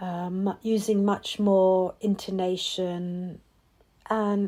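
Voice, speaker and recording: With an English accent, a woman speaks at a medium pitch in a monotone, flat intonation. Her tone is calm, dark and mellow, on a very clean recording with a silent background. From England. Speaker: mindfulness and meditation teacher. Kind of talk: reflective podcast monologue. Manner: slow pace; calm with many pauses.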